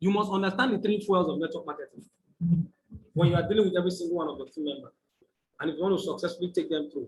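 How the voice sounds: Speaking with a Nigerian accent, a man talks at a very fast pace and a high pitch, with ordinary pitch variation and long, frequent pauses.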